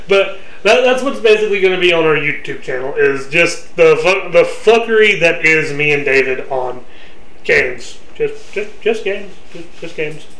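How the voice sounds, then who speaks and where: Noticeable background noise runs under the voice. The delivery has an animated tone. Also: man, high pitch for a man, lively intonation. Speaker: podcast host. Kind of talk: heated, profane banter. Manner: loud, shouty, animated; fast, laughing, insult-trading.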